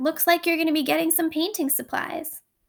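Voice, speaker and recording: Putting on a character voice, a woman talks at an extremely high pitch and a fairly quick pace. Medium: read story. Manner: wry, sardonic.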